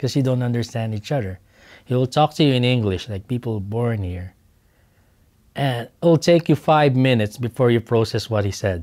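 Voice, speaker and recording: A man with a strong Filipino accent and a dark, mellow tone at a medium pitch, on a very clean recording with a silent background. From Philippines. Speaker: oilfield instrumentation worker. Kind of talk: oral history interview. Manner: halting, with repeated words.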